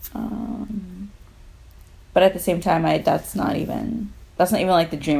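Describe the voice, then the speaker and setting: This woman has a dark, mellow tone and a medium pitch, with vocal fry and ordinary pitch variation. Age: 30s. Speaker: podcast co-host. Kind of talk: casual chat.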